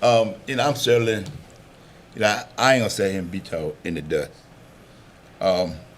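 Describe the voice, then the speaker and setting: A man's fairly low voice at a fairly quick pace, with lively intonation and long, frequent pauses. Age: 60s. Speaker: county supervisor. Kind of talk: public meeting discussion.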